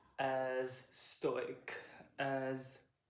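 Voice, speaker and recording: This voice belongs to a man. The room gives it an audible echo. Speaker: video essayist. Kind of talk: explainer monologue. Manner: halting.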